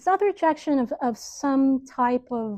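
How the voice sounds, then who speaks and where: A woman with lively intonation speaks at a fairly slow pace, the sound dry and close with no echo against a quiet background. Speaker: university lecturer. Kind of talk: classroom lecture. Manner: hesitant, with filler words and repetitions.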